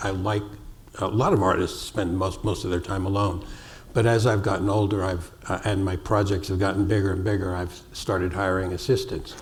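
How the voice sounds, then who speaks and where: Talking at a fairly quick pace, a man with a fairly low pitch keeps his intonation fairly even amid audible room echo. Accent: American. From US Northeast, New York City. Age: 70s. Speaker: sculptor. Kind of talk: onstage interview.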